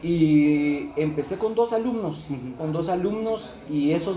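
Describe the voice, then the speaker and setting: A man with a Guatemalan accent speaks at a fairly high pitch with lively intonation. Background noise is noticeable, and there is audible room echo. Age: 30s. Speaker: barber. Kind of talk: casual interview.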